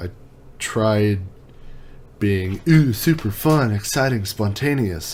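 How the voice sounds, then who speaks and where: Pitched fairly low, a man speaks at a fairly slow pace with ordinary pitch variation. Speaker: tech reviewer YouTuber. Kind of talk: casual vlog monologue. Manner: laid back.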